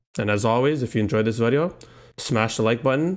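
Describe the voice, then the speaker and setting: On a very clean recording with a silent background, a man speaks at a very fast pace, his medium pitch varying in an ordinary way. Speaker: stock trading youtuber. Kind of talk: market analysis video.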